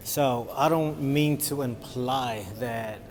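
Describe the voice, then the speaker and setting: A man with an American accent, ordinary pitch variation, and audible room echo. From Los Angeles, US. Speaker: vlogger. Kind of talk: casual vlog.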